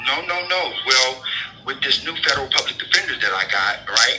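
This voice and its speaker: A man speaks with an American accent at a moderate pace. Music plays in the background. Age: 60s. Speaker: prison inmate, jailhouse lawyer. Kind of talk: interview.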